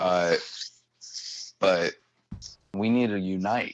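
With an American accent, a man is talking. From Cincinnati, Ohio. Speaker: stand-up comedian and construction worker. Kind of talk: casual interview chat.

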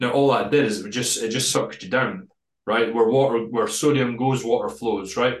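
This man has an ordinary speaking voice, medium in pitch with ordinary variation, and he talks at a moderate rate. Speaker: bodybuilding prep coach. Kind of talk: casual interview chat.

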